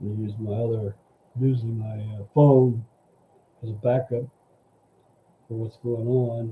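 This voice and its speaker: Mumbling and somewhat breathy, a man with a medium pitch and a dark, mellow tone speaks in a monotone, flat intonation at a fairly slow pace, with big swings in loudness and long, frequent pauses. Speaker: livestream news commentator. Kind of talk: casual live stream commentary. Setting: solo live stream. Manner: halting. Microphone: mic too quiet.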